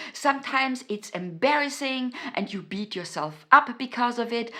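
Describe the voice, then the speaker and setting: A woman with a German accent, fairly high-pitched, bright and sharp in tone, with lively intonation at a fairly slow pace. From Austria. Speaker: self-help YouTuber. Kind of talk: motivational talk to camera. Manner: halting, many fillers and repetitions.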